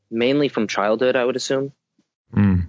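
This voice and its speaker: Here is a man with an unremarkable speaking voice and an American accent. He talks at a fairly quick pace with lively intonation. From Southern California. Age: 20s. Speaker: personal growth commentator. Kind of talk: casual interview chat.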